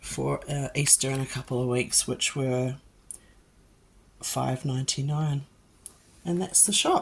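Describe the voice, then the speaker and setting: A woman with a very deep, low voice speaks at a very even loudness and fairly even intonation, leaving long, frequent pauses over noticeable background noise. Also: fairly slow pace. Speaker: mum vlogger. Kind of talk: casual talk to camera.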